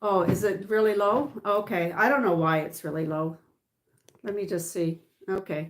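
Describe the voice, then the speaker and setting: At a fairly slow pace, a woman with a Canadian accent speaks at a medium pitch with ordinary pitch variation. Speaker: political commentator. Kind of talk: livestream monologue. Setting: livestream. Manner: loud.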